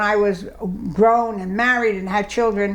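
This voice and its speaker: A woman with a New York accent speaks with audible room echo around her. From New York City (Brooklyn/Bronx). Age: 90s. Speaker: oral history interviewee. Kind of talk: oral history interview. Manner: halting.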